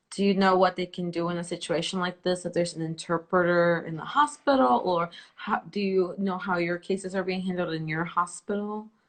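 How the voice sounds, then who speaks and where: Speaking at a fairly quick pace with hardly any pauses, a woman with a Spanish accent uses a fairly low pitch and ordinary pitch variation. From El Salvador. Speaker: interview host. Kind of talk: live interview.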